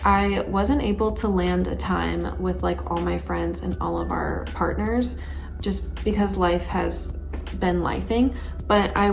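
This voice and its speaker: Over music in the background, a soft-spoken woman talks with a very deep, low pitch and fairly even intonation. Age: 20s. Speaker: planning and self-improvement vlogger. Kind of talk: casual talk to camera. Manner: soft-spoken, calm, monotone.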